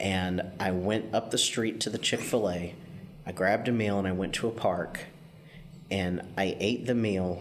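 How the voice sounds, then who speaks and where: With an ordinary speaking voice, a man talks at a moderate pace, his fairly low pitch following fairly even intonation. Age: 40s. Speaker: podcast host, hospice caregiver. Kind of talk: casual interview.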